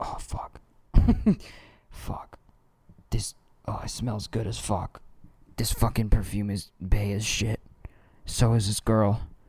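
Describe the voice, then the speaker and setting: A man whispers in a breathy, put-on character voice. He goes at a fairly slow pace with long, frequent pauses. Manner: whispering, breathy, mocking.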